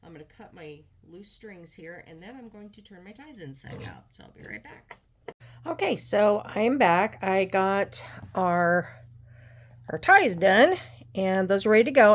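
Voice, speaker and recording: With lively intonation, a woman talks in an unremarkable speaking voice at medium pitch. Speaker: homesteading vlogger. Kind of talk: sewing tutorial. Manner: casual, thinking aloud.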